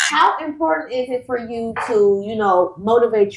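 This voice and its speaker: A woman talks while noticeable background noise carries on around her. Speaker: podcast host. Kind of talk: interview, casual chat.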